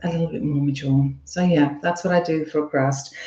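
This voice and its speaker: A woman's very deep, low voice at a moderate pace, dark and mellow in tone, somewhat breathy, with ordinary pitch variation. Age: 50s. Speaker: relationship coach. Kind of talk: casual chat. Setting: live stream. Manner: chatty, animated.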